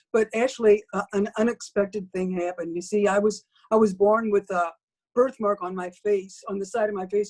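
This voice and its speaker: The speech moves at a fairly quick pace in a monotone, flat intonation. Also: woman. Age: 70s. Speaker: testimonial giver. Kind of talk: testimony. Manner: halting.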